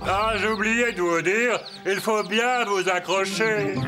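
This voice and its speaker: Under loud background noise, a man puts on a character voice at a high pitch. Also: fairly slow pace. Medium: fan dub. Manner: courteous.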